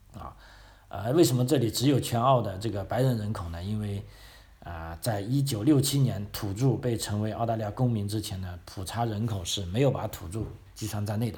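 Fairly quick, somewhat breathy speech from a man with a dark, mellow tone, in audible room echo. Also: fairly low pitch for a man, ordinary pitch variation. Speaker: podcast host. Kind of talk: casual history talk. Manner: frequent filler particles.

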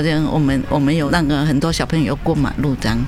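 The speaker moves at a fairly quick pace. Noticeable background noise runs underneath. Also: woman. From Vietnam. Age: 60s. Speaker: kindergarten caretaker. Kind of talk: interview. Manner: fluent.

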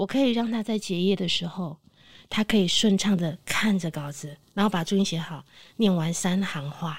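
A somewhat breathy woman at a moderate pace with ordinary pitch variation, on a very clean recording with a silent background. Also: medium pitch for a woman. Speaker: veteran voice actress. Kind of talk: casual chat.

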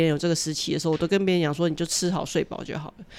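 A woman speaks with a fairly low pitch. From Taiwan. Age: 40s. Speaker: author and social worker. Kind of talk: interview.

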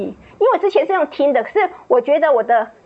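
A woman at a fairly quick pace with lively intonation, over noticeable background noise. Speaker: church member giving testimony. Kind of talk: testimony.

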